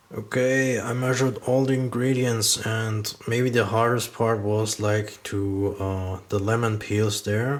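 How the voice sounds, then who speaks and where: Someone with a German accent talks at a fairly slow pace with hardly any pauses, over noticeable background noise. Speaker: cooking channel host. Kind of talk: cooking tutorial. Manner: halting, with many fillers.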